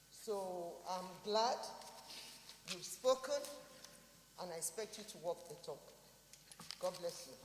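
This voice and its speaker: A woman speaks at a medium pitch and a fairly slow pace, with lively intonation, big swings in loudness, long and frequent pauses, and noticeable background noise. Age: 60s. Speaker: senator. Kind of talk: parliamentary address. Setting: senate chamber.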